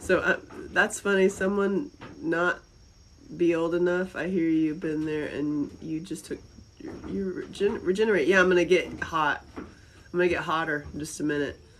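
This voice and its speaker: A woman speaks in a Southern US accent at a moderate pace. Her fairly low pitch shows ordinary variation. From North Carolina, US South (Asheville). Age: 50s. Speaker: live-stream host. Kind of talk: casual chat. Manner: animated.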